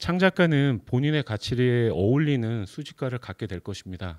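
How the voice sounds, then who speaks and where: Medium pitch from a man, with very wide pitch swings. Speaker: arts management company head, lecturer; guest lecturer. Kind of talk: lecture. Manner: seated, speaking at length. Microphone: handheld.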